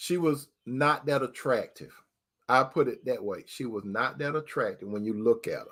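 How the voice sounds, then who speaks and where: A normal speaking voice at a moderate pace. The recording is very clean, with a silent background. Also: man, medium pitch for a man. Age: 60s. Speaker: relationship advice talk show host. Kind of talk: casual monologue. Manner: conversational, repetitive.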